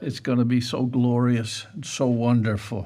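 Quiet surroundings behind a male speaker. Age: 70s. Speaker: preacher. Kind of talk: sermon. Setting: church. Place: church.

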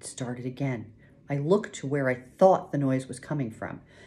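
Delivered in a natural reading voice, the intonation stays fairly even.

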